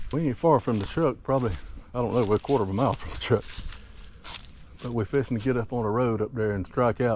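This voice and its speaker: A man with a Southern US accent speaks at a very fast pace and a medium pitch. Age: 60s. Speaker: bowhunter. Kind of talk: outdoor vlog commentary. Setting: outdoors, walking in woods.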